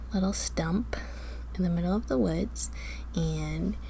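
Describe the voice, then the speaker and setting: The speaker is soft-spoken, with a gentle tone. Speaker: ASMR creator. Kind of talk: ASMR imagination practice, guided visualization prompts. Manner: soft-spoken, gentle.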